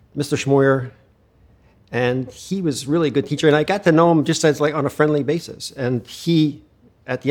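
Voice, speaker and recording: Here is a man with an American accent and an unremarkable speaking voice. He is fairly high-pitched, moves at a fairly quick pace and shows ordinary pitch variation. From Pennsylvania, US. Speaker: retina specialist and researcher. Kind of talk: interview.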